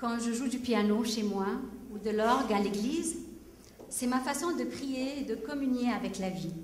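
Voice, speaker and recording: The speaker has an Arabic accent and a fairly slow pace with ordinary pitch variation. Audible room echo and noticeable background noise fill the recording. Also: woman. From Egypt, Alexandria. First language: Arabic (speaking French). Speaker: singer-songwriter. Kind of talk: stage address. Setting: stage with audience.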